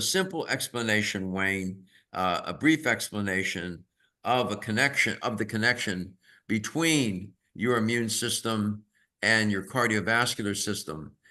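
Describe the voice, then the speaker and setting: Over a quiet background, a man speaks fairly slowly at a medium pitch, his bright, sharp tone carrying lively intonation. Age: 80s+. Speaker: health expert on aging. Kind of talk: webinar presentation. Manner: explanatory.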